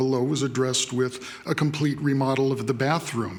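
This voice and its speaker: Over noticeable background noise, a man talks at a fairly quick pace with a fairly high pitch. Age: 60s. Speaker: public commenter at city council meeting. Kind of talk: public comment testimony. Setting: city council chamber.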